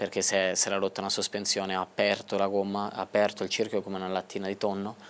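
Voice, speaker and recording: A man's very deep, low voice at a fairly quick pace in a Tuscan accent, with light background noise. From Tuscany. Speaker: racing driver; guest. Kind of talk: interview. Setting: studio. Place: studio. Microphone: lapel.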